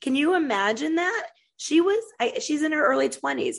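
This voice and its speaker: At a moderate pace, a woman with an American accent talks with vocal fry and very wide pitch swings. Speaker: podcast host; military veteran. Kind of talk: solo monologue on news. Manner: halting, many fillers.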